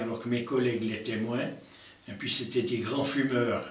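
Here a man speaks at a moderate pace with monotone, flat intonation. Audible room echo surrounds his voice. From Lausanne, Switzerland. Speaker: hunter. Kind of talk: interview answer. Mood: calm reminiscing. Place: home room.

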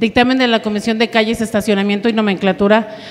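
A woman talks in a flat monotone. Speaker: council secretary reading agenda. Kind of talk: formal agenda reading. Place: meeting room. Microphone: podium.

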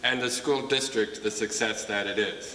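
Over light background noise and audible room echo, a man talks at a moderate pace with fairly even intonation. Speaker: school principal. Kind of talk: ceremony emcee. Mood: warm, proud. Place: hall.

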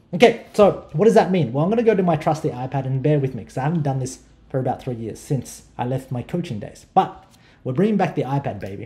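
Very fast and somewhat breathy, a man speaks at a fairly high pitch with very wide pitch swings. His tone is dark and mellow. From Australia. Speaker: online marketing educator. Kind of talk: tutorial. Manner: repetitive, stammering restarts. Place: home room.

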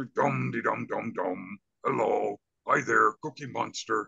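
A man performs a put-on character voice that is raspy. He speaks at a fairly slow pace with music in the background. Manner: goofy.

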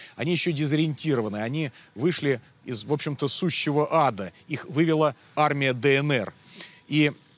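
The recording of this man has a dry sound with no echo. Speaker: TV reporter. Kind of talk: field news report to camera. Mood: serious, grave. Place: street.

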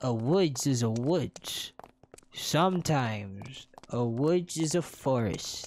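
The reading voice sounds unforced, and its intonation is lively.

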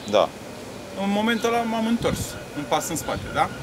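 Noticeable background noise runs behind a man as he speaks. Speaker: interviewee. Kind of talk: interview answer. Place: stadium.

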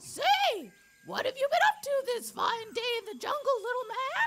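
In a cartoonish character voice, the speaker talks at a moderate pace with an extremely high pitch. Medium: puppet. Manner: exuberant, playful.

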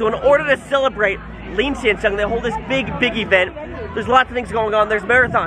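A man talks at a fairly quick pace. Crowd noise can be heard behind him. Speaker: travel vlogger. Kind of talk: casual vlog chat. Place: street. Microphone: phone near.

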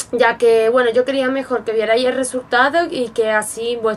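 A woman speaks in a high voice over light background noise. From Spain. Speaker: beauty vlogger. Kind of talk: product review tutorial. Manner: casual and chatty. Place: home room. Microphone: webcam.

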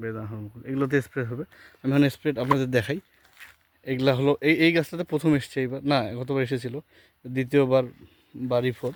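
He has an ordinary speaking voice at a medium pitch, with fairly even intonation. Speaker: orchard owner and YouTuber. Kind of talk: garden walkthrough tutorial. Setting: outdoors in orchard.

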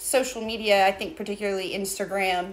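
At a moderate pace, a woman is speaking. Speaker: small business co-owner host. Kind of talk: casual livestream chat. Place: workshop. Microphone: phone near.

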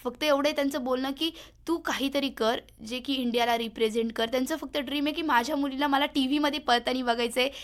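Recorded very cleanly with a silent background, a woman speaks with high pitch and fairly even intonation. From Maharashtra, Sangamner (Ahmednagar district). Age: young. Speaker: sprinter, athlete. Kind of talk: radio interview. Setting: radio studio.

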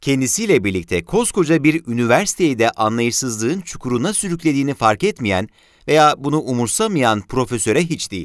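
A man speaks at a moderate pace with very wide pitch swings and hardly any pauses. The sound is dry and close with no echo, in a very clean recording with a silent background. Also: medium pitch for a man. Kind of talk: period newspaper column read aloud.

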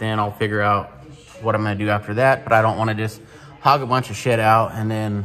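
A man talks at a fairly quick pace and fairly low pitch in an unremarkable speaking voice. Light background noise is present. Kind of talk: casual vlog chat. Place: garage. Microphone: phone near.

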